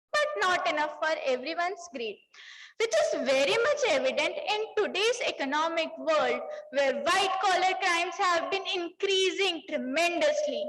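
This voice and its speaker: Pitched extremely high, a woman speaks at a moderate pace with very wide pitch swings and audible room echo. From Punjab, India. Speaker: CA student speaker. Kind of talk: conference speech. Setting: stage with audience. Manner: formal.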